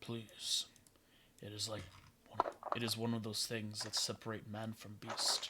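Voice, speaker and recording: A man's put-on character voice at medium pitch, with long, frequent pauses. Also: moderate pace. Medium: actual play.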